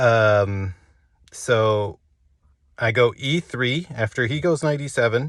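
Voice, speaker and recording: A man talks at a very slow pace, leaving long, frequent pauses. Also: medium pitch for a man, ordinary pitch variation, very clean recording, silent background. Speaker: amateur chess player recapping his games. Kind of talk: casual solo game recap monologue. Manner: animated, excited.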